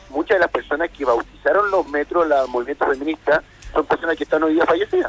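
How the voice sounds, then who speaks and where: In a dry, close recording with no echo but noticeable background noise, a man talks very fast at a fairly high pitch. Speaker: lawyer. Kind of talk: radio interview.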